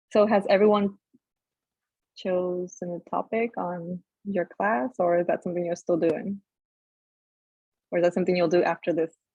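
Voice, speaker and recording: A woman with a non-native accent speaks in a fairly low pitch with a dark, mellow tone, leaving long, frequent pauses. Her loudness swings widely, and the sound is dry and close with no echo. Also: fairly even intonation, moderate pace. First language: not English. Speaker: peer mentor. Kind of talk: online workshop presentation.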